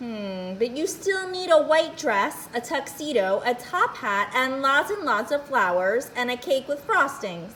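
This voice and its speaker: A woman uses a put-on character voice with a high pitch at a moderate pace, with clear background noise behind her. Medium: read story. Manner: eager, chattering.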